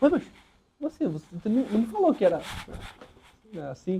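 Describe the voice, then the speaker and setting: The man speaks in a dark, mellow tone. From Belém do Pará, northern Brazil. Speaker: visual artist. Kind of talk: seminar talk. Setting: room with live audience. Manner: casual, many fillers and restarts.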